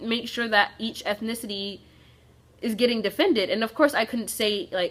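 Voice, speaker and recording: A woman talks at a fairly high pitch with fairly even intonation. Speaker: youtuber. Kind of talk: storytime vlog. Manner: casual; fast.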